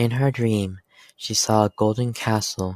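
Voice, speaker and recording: With a normal speaking voice, a man at a fairly low pitch keeps a moderate pace in a very clean recording with a silent background and a dry, close sound with no echo. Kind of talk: story read-aloud.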